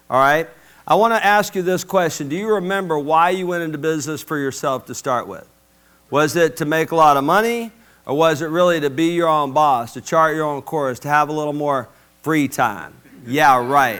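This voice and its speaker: Animated in tone, a man with an Alabama accent speaks at a moderate pace and a fairly high pitch with ordinary pitch variation. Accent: Southern US (Alabama). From US South, Mobile, Alabama. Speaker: business coach. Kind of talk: motivational speech. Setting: stage with audience.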